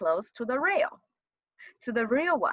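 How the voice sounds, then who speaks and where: Raised and projected, the voice has a bright, sharp tone and very wide pitch swings, recorded with a dry, close sound and no echo. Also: woman. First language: not English. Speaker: college GIS instructor. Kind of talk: lecture. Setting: video call. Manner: halting, repeats words.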